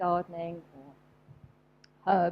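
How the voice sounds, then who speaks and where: A woman speaks in a southern English accent. Her tone is dark and mellow. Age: 60s. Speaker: homeopath and animal therapist. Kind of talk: talk to a live audience. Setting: event with audience. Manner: hesitant, many fillers.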